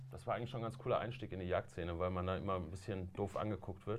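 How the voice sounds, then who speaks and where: A man talks at a very fast pace. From Essen, Ruhr area, Germany. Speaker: hunter and video show presenter. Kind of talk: casual chat. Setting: studio.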